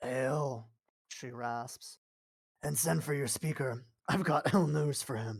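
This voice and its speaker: A man puts on a raspy character voice at a medium pitch. He talks fairly slowly, with long, frequent pauses. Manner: ominous, bearing bad news.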